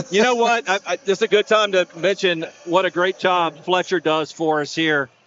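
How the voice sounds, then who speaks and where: Loud and high-pitched, a man speaks at a moderate pace. His pitch varies in an ordinary way. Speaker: play-by-play commentator. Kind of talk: live sports commentary.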